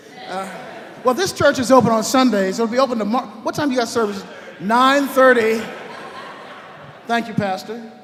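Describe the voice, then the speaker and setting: The speaker has an American accent and a fairly quick pace. Audible room echo and noticeable background noise are present. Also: man. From Los Angeles, US West Coast. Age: 70s. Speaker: orchestra conductor. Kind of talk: speech to a concert audience. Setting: church, stage with audience. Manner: conversational, lively.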